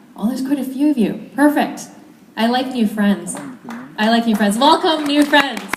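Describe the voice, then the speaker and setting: A woman speaks at a high pitch with ordinary pitch variation. Noticeable background noise and audible room echo come through. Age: 20s. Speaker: network marketing speaker. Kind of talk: motivational talk. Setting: stage with audience. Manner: fast; animated.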